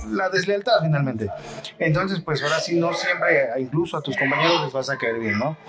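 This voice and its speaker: Over noticeable background noise, a man with a fairly high pitch talks at a fairly quick pace with lively intonation. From Mexico, Xalapa, Veracruz. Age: 40s. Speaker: marimba musician. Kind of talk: interview. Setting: café theater venue, storm outside.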